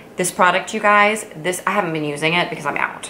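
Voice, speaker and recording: Speaking fairly quickly with lively intonation, a woman's voice sits fairly low in pitch. Room echo and noticeable background noise are audible. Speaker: beauty vlogger and physician. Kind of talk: casual product review vlog. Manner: fast; animated.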